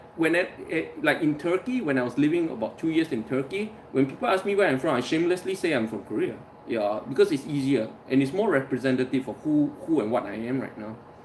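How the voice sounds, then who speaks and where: Against noticeable background noise, a man with a fairly high voice talks in an animated tone with lively intonation. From Singapore. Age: 40s. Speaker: livestream host. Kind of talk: casual live chat. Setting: live stream. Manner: animated, with many false starts.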